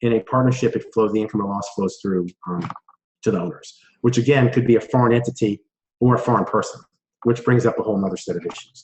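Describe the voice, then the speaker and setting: The speaker is a man. There is some breathiness in his voice. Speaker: tax accountant. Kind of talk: webinar presentation. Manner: fast.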